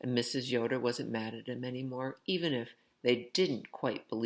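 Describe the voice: Plain reading aloud is what this clip offers.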